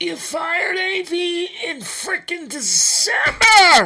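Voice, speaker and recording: In a put-on character voice, the speaker uses an extremely high pitch at a very slow pace. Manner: mocking, incredulous.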